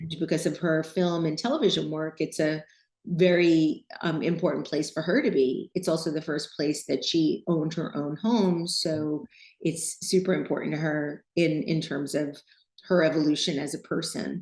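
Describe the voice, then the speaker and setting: A woman with an American accent, very deep, low pitch, fairly even intonation and a moderate pace. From New York City. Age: 60s. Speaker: designer and podcast host. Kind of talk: interview.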